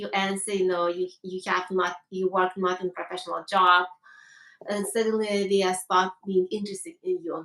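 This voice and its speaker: A woman with a strong Lithuanian accent speaks at a medium pitch and a moderate pace. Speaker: HR professional. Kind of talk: live interview conversation. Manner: halting.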